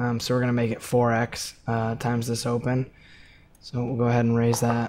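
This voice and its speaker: A quiet man speaks at a medium pitch in a monotone, flat intonation. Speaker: poker coach and player. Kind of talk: live gameplay commentary. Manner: casual, many filler words.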